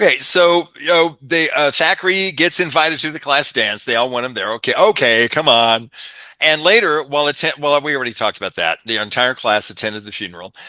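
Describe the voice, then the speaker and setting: A man's fairly quick, animated delivery with a bright, sharp tone, vocal fry, fairly high pitch and lively intonation. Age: 60s. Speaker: podcast host. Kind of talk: casual chat.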